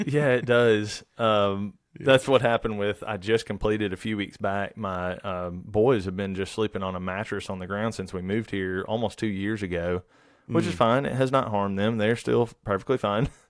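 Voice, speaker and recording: Speaking with a Southern US accent, a man talks at a fairly low pitch with ordinary pitch variation and hardly any pauses. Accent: Southern US drawl. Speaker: woodworker and furniture maker. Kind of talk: podcast interview answer.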